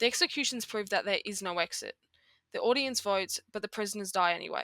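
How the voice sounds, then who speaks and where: A woman with an Australian accent talks at a fairly quick pace in a medium pitch. Her tone is bright and sharp, and the sound is dry and close with no echo. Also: very clean recording, silent background. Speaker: music commentary YouTuber. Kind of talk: video essay narration. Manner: halting, with self-corrections.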